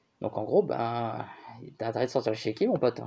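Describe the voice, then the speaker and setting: A man speaks with ordinary pitch variation. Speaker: YouTuber commentator. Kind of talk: commentary reading online comments. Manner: casual, hesitant with fillers.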